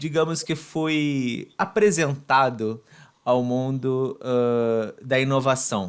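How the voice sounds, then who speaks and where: On a very clean recording with a silent background, a man with a Brazilian accent speaks at a very slow pace, at medium pitch with ordinary pitch variation. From Brazil, Volta Redonda, Rio de Janeiro state. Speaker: podcast host, guest. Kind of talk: interview. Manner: halting, many fillers.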